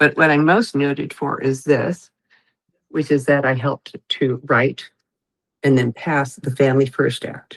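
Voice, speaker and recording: Speaking at a fairly slow pace, a woman has a very deep, low pitch and fairly even intonation. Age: 60s. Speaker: legislative advisor and former nursing researcher. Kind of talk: podcast interview.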